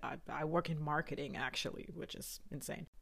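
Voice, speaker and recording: Very deep and low in pitch, a woman speaks in a monotone with flat intonation, captured in a very clean recording against a silent background. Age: 30s. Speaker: podcast host. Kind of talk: scripted monologue. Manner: hesitant; laughing.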